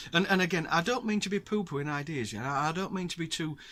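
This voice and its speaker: A man with a northern English accent speaks at a fairly quick pace in a bright, sharp tone, on a very clean recording with a silent background. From northern England. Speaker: outdoors vlogger and angler. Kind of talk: casual talk to camera. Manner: halting with fillers.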